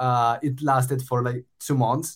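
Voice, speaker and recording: A man talks at a fairly slow pace in a Spanish accent. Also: very clean recording, silent background. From Spain. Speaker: startup founder. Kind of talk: casual interview conversation.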